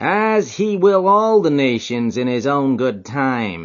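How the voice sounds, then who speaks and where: Putting on a nasal character voice, a man speaks fairly slowly at a medium pitch with very wide pitch swings. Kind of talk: solemn, scriptural.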